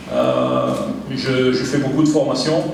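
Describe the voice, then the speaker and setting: Noticeable background noise and audible room echo around a man's fairly slow delivery. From France. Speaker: football technical director. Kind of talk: presentation. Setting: meeting room without microphone.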